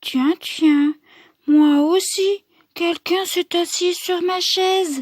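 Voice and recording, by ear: A woman puts on a character voice, pitched extremely high and delivered at a very slow pace. Her intonation stays fairly even, and the sound is dry and close with no echo. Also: very clean recording, silent background.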